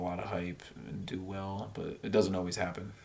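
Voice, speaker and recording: Speaking at a fairly slow pace, a man uses a very deep, low pitch. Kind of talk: casual talk to camera. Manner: hesitant, rambling.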